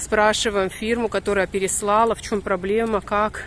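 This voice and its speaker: A woman speaks at a moderate pace, the sound dry with no echo and light noise in the background. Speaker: vlogger filming her walk. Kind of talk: casual vlog chat. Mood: annoyed storytelling, wry. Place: street. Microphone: phone near.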